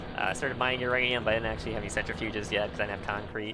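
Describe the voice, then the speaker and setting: A man speaks with music playing in the background. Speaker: gaming YouTuber. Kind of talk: casual gameplay commentary.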